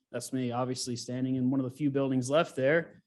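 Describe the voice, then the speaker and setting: In an American accent, a man talks fairly quickly in a fairly high voice. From US South, Gulf Coast of Mississippi. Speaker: geologist. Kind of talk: lecture. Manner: casual.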